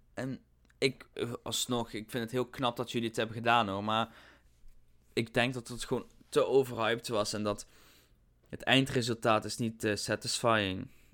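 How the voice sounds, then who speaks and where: A man speaks with monotone, flat intonation. He leaves long, frequent pauses. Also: medium pitch for a man, moderate pace, very clean recording, silent background. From Netherlands, not Limburg. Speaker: theme park podcast co-host. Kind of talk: casual chat. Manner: giggly, playful.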